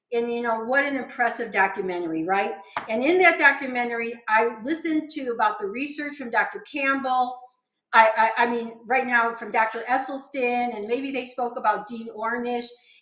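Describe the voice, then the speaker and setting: A woman's high, bright, sharp voice with big swings in loudness and audible room echo. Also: ordinary pitch variation, moderate pace. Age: 70s. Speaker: vegan nutrition educator. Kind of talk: casual chat.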